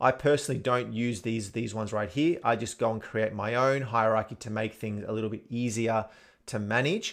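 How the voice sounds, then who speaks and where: Talking at a fairly quick pace, a man with an Australian accent keeps his intonation fairly even. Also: medium pitch for a man. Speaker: tech tutorial presenter. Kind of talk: tutorial. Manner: casual, with fillers.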